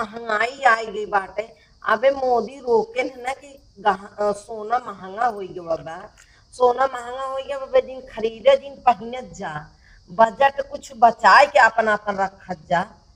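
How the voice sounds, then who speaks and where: Noticeable background noise sits behind a woman with a fairly high voice. Her pitch variation is ordinary, while her loudness swings widely. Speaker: mother-in-law in skit. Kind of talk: village comedy sketch dialogue. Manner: scolding, mocking.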